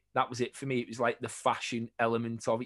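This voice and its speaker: In a quiet background, a man talks at a fairly quick pace and medium pitch, with a dry, close sound and no echo. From northern England, St Helens (between Liverpool and Manchester). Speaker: jersey store owner and collector. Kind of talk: casual interview.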